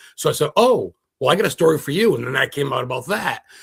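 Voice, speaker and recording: A man with an American accent speaks very fast in an animated tone, with fairly high pitch and vocal fry. His pitch swings very wide. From Maine, US. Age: 40s. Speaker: paranormal investigator and historian. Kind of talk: casual interview.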